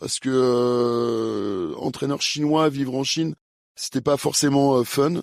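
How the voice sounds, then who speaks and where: The recording is dry and close with no echo as a man speaks very slowly, his pitch fairly high and his intonation fairly even. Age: 50s. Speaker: fencing coach and former Olympic fencer. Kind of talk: interview. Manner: hesitant, many fillers.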